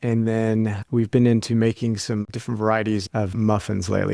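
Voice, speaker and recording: A man with an American accent speaks at a moderate pace in an ordinary speaking voice, his medium pitch captured with a dry, close sound and no echo. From US, Kentucky. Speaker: army dietitian and researcher. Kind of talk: interview.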